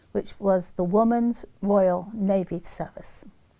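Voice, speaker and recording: This woman's tone is dark and mellow, with monotone, flat intonation. The recording is very clean, with a silent background. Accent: English Midlands. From England, Leicester. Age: 80s+. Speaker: interviewee recalling wartime childhood. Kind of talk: oral history interview.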